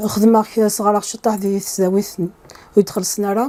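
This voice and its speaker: A woman with an Algerian accent speaks at a very slow pace. Her medium-pitched voice has monotone, flat intonation. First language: Kabyle (speaking French). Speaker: computer science professor. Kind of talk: interview. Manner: hesitant, with many fillers.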